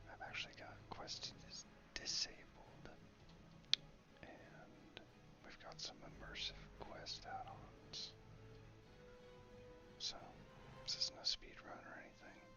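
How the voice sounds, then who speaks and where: Whispering at a very slow pace with long, frequent pauses, the speaker keeps a relaxed tone over music in the background. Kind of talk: ASMR gaming commentary. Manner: whispered, relaxed.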